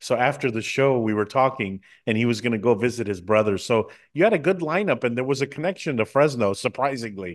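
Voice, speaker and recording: A man at medium pitch talks at a very fast pace with an American accent. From United States. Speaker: TV and radio talk show host. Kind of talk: interview.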